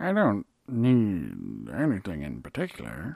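A put-on character voice, low in pitch, at a fairly slow pace. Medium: actual play. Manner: terse, flat; unsettling.

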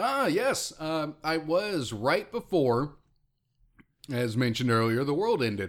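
The man's voice is fairly high and swings very widely in pitch. He speaks fairly slowly at a very even loudness. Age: 30s. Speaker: podcast host. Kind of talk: casual banter.

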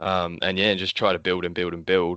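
A man speaks at a very fast pace in an Australian accent. His pitch is very deep and low. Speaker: comic book artist. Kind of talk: casual chat. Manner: casual, swears often.

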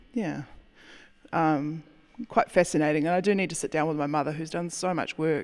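Fairly even intonation broken by long, frequent pauses. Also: woman, very deep, low pitch for a woman, moderate pace. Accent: New Zealand. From New Zealand, rural area south of Auckland. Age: 30s. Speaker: winemaker. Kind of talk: interview.

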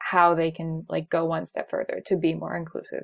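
A woman at a fairly quick pace, on a very clean recording with a silent background. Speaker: illustrator. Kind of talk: interview.

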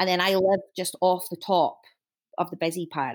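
A woman speaks with a Dundee accent at a moderate pace and a medium pitch. The recording is very clean, with a silent background. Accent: Dundee Scottish. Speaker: fashion designer and shop owner. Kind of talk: casual chat.

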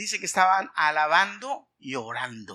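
With a raised, projected voice and a bright, sharp tone, a man speaks at a fairly slow pace in a high pitch with very wide pitch swings. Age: 50s. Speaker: pastor. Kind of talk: sermon.

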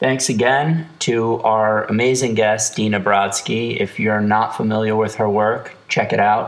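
This man has an ordinary speaking voice, fairly low in pitch, and talks at a fairly slow pace. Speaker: podcast host. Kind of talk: casual interview chat. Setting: recorded on cell phones.

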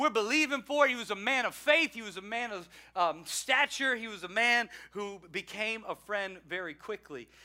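A man projects his voice at a high pitch with a bright, sharp tone, at a moderate pace. His loudness swings widely while his pitch varies in an ordinary way. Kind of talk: eulogy. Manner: solemn, tender, warmly reverent, like a pastor remembering a friend; measured preaching cadence with repeated 'He was a man'.

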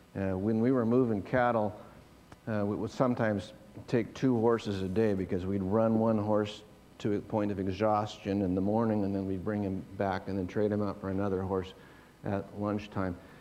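The tone is dark and mellow, delivered at a moderate pace. Intonation is flat and monotone, with audible room echo. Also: man, fairly low pitch for a man. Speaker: pastor. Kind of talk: sermon.

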